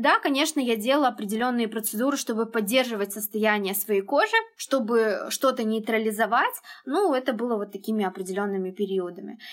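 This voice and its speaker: A woman talks at a fairly quick pace with a fairly high pitch and ordinary pitch variation. Noticeable background noise is present. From Uzbekistan. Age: 20s. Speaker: skincare blogger. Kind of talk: casual chat.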